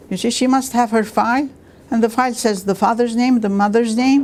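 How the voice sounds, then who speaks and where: A woman talks at a moderate pace in an Armenian accent. Her pitch sits fairly high. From Iraq and Lebanon. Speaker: retired university staff member. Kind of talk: oral history interview. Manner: hesitant, with many fillers.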